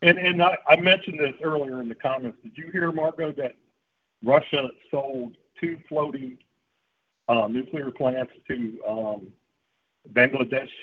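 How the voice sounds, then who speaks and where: Speaking at a fairly slow pace with a fairly high pitch, a man shows ordinary pitch variation, big swings in loudness, and long, frequent pauses. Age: 60s. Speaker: regular participant. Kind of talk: casual chat.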